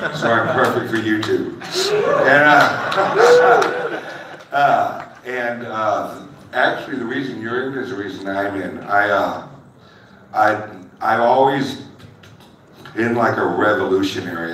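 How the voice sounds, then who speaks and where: With an American accent, a man talks at a fairly slow pace with ordinary pitch variation and long, frequent pauses, amid audible room echo and noticeable background noise. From US Midwest. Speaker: crypto YouTuber and truck driver. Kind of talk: panel discussion.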